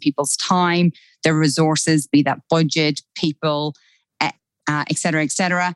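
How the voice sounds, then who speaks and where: In an Irish accent, a woman speaks at a fairly quick pace with a very deep, low, monotone, flat voice. The sound is dry and close, with no echo. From Ireland. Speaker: time management expert. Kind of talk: casual interview.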